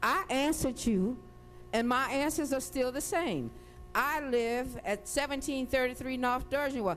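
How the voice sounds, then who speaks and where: A woman talks at a fairly slow pace in a high voice, with ordinary pitch variation and very even loudness. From New Orleans, Louisiana. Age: 60s. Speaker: hurricane survivor testifying. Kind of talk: testimony. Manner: animated.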